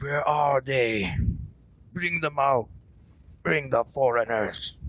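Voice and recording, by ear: Shouting in a put-on character voice, a man speaks very slowly at a medium pitch.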